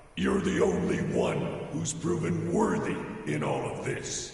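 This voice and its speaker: A man's put-on character voice at a fairly slow pace, with strong echo. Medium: machinima. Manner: blunt, commanding.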